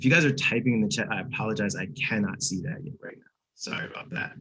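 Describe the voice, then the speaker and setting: Talking at a fairly quick pace, a man uses lively intonation at a medium pitch. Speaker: creative agency producer, guest speaker. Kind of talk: presentation. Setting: video call. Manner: fast; casual, unconventional.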